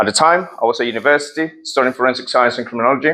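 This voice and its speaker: Bright and sharp in tone, a man talks at a fairly quick pace and medium pitch with ordinary pitch variation. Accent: Spanish. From Colombia. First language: Spanish. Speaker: property investor and speaker. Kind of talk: presentation to an audience.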